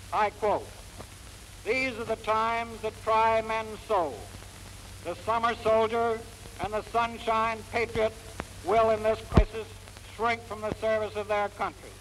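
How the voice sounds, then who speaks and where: Over noticeable background noise, a man with a high pitch speaks at a fairly slow pace in a monotone, flat way, leaving long, frequent pauses. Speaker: general addressing an engineers' reserve training corps. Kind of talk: wartime rallying speech. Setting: archival recording. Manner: earnest, rhetorical, commanding.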